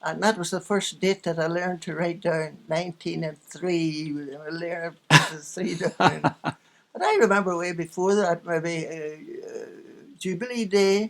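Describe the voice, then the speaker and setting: In a Northern Irish accent, a woman speaks at a moderate pace with fairly low pitch and fairly even intonation. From Northern Ireland. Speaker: former radio actress and nurse. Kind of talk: interview answer.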